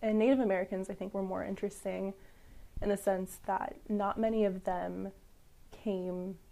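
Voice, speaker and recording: In a Midwestern US accent, a woman speaks at a moderate pace and medium pitch, her tone dark and mellow and her intonation fairly even. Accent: US Midwest. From St. Louis, Missouri. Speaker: history PhD student. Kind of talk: interview.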